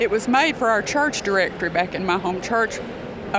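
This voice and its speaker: With a Southern US accent, a woman talks at a moderate pace and a fairly high pitch, using ordinary pitch variation against noticeable background noise. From US South, northeast Arkansas. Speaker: gospel songwriter. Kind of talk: interview. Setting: convention venue.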